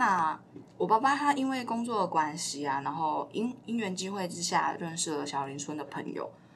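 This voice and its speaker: Speaking at a moderate pace, a woman with a medium pitch moves through very wide pitch swings over noticeable background noise. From southern Taiwan. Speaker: podcast co-host. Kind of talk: personal storytelling.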